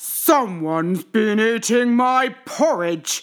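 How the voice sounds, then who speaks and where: A female-sounding, put-on character voice growls at a fairly high pitch. It moves at a very slow pace. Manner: growling.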